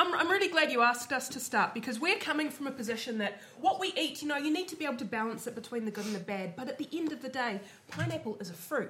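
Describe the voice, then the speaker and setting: Over noticeable background noise, a woman projects a raised voice at a high pitch. She talks at a very fast pace with very wide pitch swings. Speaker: university lecturer and writer. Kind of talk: comedy quiz show, casual banter.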